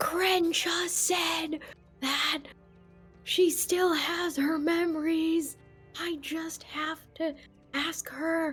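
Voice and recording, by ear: Whispering in a put-on character voice, a woman goes very slowly with long, frequent pauses while faint music plays in the background.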